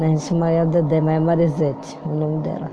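A woman talks over noticeable background noise. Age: 80s+. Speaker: grandmother telling life story. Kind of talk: casual chat. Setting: at home with granddaughter. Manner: halting.

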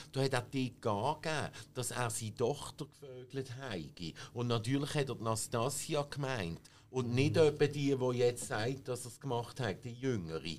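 Vocal fry runs through this man's voice, which has ordinary pitch variation. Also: medium pitch for a man, moderate pace. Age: 50s. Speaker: film expert. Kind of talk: casual chat.

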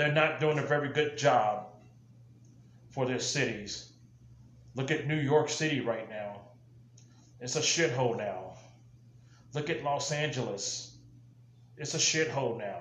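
Over noticeable background noise, a man with an American accent speaks at a fairly high pitch and a fairly slow pace, with ordinary pitch variation and long, frequent pauses. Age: old. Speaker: podcast host, political commentator; military veteran. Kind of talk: political monologue. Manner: impassioned, ranting.

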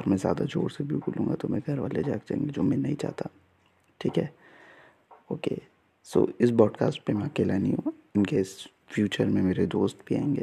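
Dark and mellow with vocal fry, a man's medium-pitched voice carries lively intonation broken by long, frequent pauses. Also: moderate pace. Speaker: podcaster. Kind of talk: casual solo monologue. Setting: at home at night. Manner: soft-spoken; halting.

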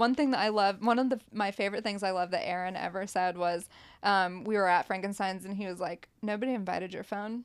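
A woman speaks with an American accent in a plain, everyday voice at a medium pitch. Her pace is fairly quick, her intonation fairly even, and the recording is very clean with a silent background. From southeast Ohio, Appalachia. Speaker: musician. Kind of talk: casual chat.

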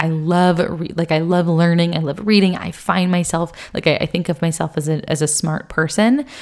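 This woman talks at a fairly quick pace in an ordinary speaking voice with a fairly low pitch. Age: 20s. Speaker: health and wellness podcast host. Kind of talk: casual solo podcast monologue. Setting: home recording on video.

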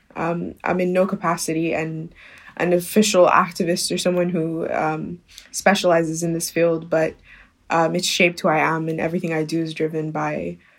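On a very clean recording with a silent background, a woman with a Sudanese accent speaks fairly quickly in a fairly low pitch with monotone, flat intonation. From Sudan, Khartoum. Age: 20s. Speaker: university student. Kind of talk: casual interview.

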